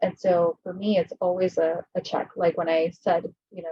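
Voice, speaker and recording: Soft-spoken and somewhat breathy, a woman talks in an American accent. Her voice has a medium pitch and a dark, mellow tone. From US West Coast (Los Angeles, between Compton and Watts). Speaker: insurance catastrophe modeling leader. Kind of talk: fireside chat.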